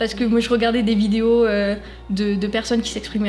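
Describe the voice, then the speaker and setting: A woman speaks at medium pitch with monotone, flat intonation. Music plays in the background and room echo is audible. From southwest France (Hautes-Pyrénées, Gers). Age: 20s. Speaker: business student, eloquence contest finalist. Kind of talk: interview. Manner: hesitant, many fillers.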